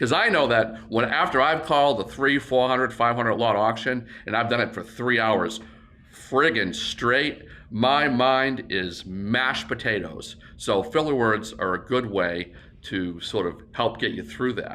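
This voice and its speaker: In a room with audible echo, a man speaks at medium pitch and a fairly slow pace in a bright, sharp tone with ordinary pitch variation. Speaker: auctioneer. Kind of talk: tutorial. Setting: warehouse.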